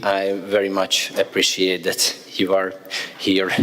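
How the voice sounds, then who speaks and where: A man talks at a fairly slow pace with a Hungarian accent. Noticeable background noise runs under the recording. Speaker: government official. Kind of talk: formal speech.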